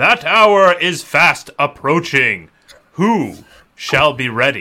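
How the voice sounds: A man uses a booming, put-on character voice with fairly high pitch at a very slow pace.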